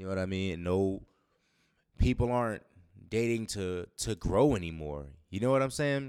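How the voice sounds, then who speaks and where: Pausing long and often, a man with a fairly low voice talks at a moderate pace. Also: lively intonation. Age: 30s. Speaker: podcast host. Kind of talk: casual monologue. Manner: animated.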